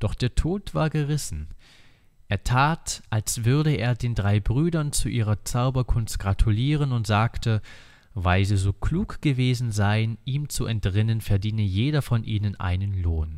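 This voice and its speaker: This ordinary speaking voice moves at a fairly slow pace with lively intonation. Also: man, medium pitch for a man. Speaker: audiobook reader. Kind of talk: reading aloud a fairy tale in a calm, storyteller's cadence, like a bedtime story. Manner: slow, measured and soothing, with a steady, warm narrative rhythm.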